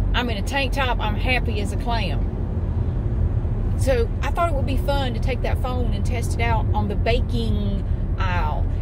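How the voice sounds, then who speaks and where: A woman talks with hardly any pauses, in a dry sound with no echo, against loud background noise. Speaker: vlogger. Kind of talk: casual vlog chat. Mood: chatty, mildly exasperated. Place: car. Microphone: phone near.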